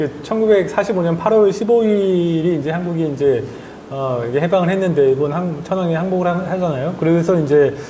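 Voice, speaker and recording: Amid noticeable background noise and audible room echo, a man talks at a moderate pace, high-pitched with ordinary pitch variation. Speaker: journalist and author. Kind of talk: interview.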